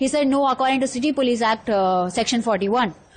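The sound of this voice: A woman speaks at a fairly high pitch, her pitch varying in an ordinary way.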